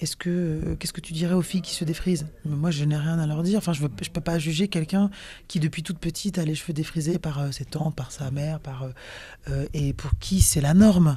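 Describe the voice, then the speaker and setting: With a Parisian accent, a woman speaks in a very deep, low pitch and a dark, mellow, somewhat breathy tone, keeping fairly even intonation at a fairly quick pace. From Cameroon (Sawa, Douala) heritage, raised partly in Paris. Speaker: singer. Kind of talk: interview. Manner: hesitant, many fillers and repetitions.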